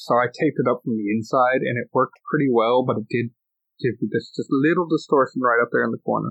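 Fairly even intonation carries speech delivered at a very fast pace. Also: man, medium pitch for a man. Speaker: podcast host. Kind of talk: casual chat. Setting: home.

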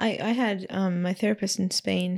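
A woman talks at a fairly low pitch with vocal fry. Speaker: podcast guest. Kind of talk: casual interview conversation. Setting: in person recording.

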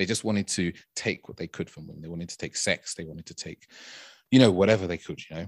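A man with a very deep, low voice and ordinary pitch variation speaks at a very fast pace. His loudness swings widely, and the recording is very clean, dry and close, with no echo and a silent background. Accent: London. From London, England. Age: 30s. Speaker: dating and intimacy coach. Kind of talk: casual interview.

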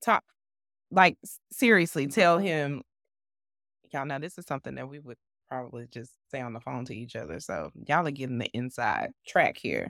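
A woman with a very deep, low voice and vocal fry speaks at a moderate pace, her intonation lively and her loudness swinging widely. She leaves long, frequent pauses, and the very clean recording is dry and close, with no echo and a silent background. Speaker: podcast co-host. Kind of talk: casual chat.

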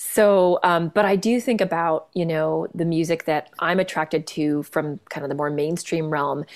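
A woman with a Canadian accent has an unremarkable speaking voice with a fairly low pitch and ordinary pitch variation. She keeps a moderate pace with hardly any pauses. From Canada. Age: 40s. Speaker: jazz singer-songwriter and pianist. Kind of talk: casual interview chat.

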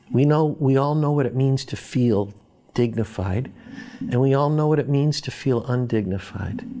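A man speaks with an American accent and ordinary pitch variation. Noticeable background noise runs under his voice. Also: medium pitch for a man, moderate pace. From Boston, US. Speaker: professor. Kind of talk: interview.

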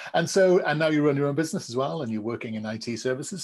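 With a British accent, a man of medium pitch speaks using lively intonation.

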